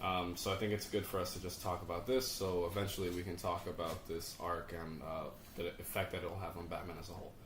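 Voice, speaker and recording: A man talks at a very fast pace with hardly any pauses, his very deep, low voice monotone and flat. Noticeable background noise and audible room echo fill the recording. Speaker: podcast host. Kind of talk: casual chat. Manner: loud.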